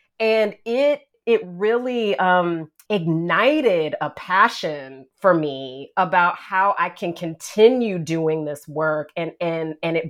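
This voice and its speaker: Speaking in an American accent, a woman with a fairly low pitch uses lively intonation and big swings in loudness. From US South. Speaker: nonprofit executive director. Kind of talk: casual chat.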